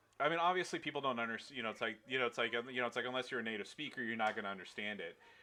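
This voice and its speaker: With ordinary pitch variation, a man speaks in a medium-pitched voice. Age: 30s. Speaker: video game streamer. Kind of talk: casual chat. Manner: many fillers, hesitant.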